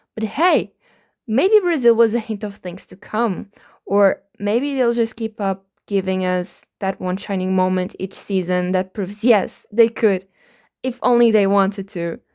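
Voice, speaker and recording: A woman's voice at a fairly slow pace, with ordinary pitch variation. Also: medium pitch for a woman, very clean recording, silent background. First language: not English. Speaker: F1 commentary vlogger. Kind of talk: comedic commentary.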